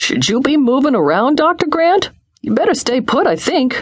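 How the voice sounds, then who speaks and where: A woman puts on a character voice at a high pitch. Her delivery moves at a moderate pace in a female-sounding voice. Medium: read story. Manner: gentle, fussing.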